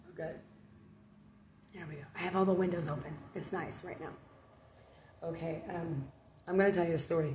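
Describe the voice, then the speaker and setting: The woman speaks at a fairly quick pace and a fairly low pitch, with long, frequent pauses and fairly even intonation. Her loudness swings widely, and room echo is audible. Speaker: online preacher. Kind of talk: casual spiritual talk. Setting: at home with windows open.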